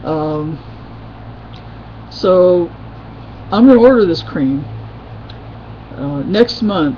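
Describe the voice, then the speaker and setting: A woman with an American accent speaks very slowly in a very deep, low pitch, with lively intonation, long, frequent pauses and big swings in loudness. Audible room echo and noticeable background noise fill the recording. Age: 50s. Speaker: video blogger. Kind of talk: casual webcam vlog.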